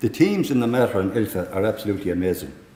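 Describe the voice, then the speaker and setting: Speaking at a fairly quick pace, this voice carries a Tipperary accent. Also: man. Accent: Irish (Tipperary). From Ireland, County Tipperary. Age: 60s. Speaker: lung transplant recipient. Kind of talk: prepared testimony speech.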